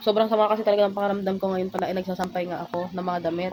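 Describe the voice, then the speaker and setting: A woman speaks very fast at a medium pitch in a flat, monotone delivery. Noticeable background noise runs under her voice. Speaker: vlogger. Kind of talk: casual vlog talk.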